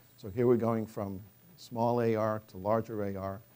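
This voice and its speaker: Fairly even intonation pairs with a dark, mellow tone in this voice. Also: man. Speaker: professor, chemistry researcher; professor. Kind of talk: scientific lecture. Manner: hesitant, many fillers; fast. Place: hall. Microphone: podium.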